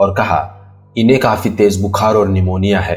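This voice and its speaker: A man's voice with music in the background. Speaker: narrator. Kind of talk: horror story narration.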